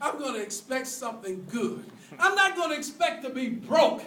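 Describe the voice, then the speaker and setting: A man with an extremely high pitch uses a raised, projected voice, an animated tone, and lively intonation at a moderate pace, with audible room echo. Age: 60s. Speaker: preacher on fundraising. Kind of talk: sermon.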